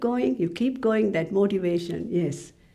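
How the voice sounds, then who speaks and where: Over noticeable background noise, a woman with a Tamil accent speaks at a moderate pace with lively intonation. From Sri Lanka. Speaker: library officer. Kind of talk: interview.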